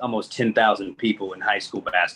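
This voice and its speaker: A man speaks at a medium pitch with an American accent in a normal speaking voice. His pace is moderate and his intonation fairly even. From Indiana, US Midwest. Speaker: college basketball coach. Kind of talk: casual interview.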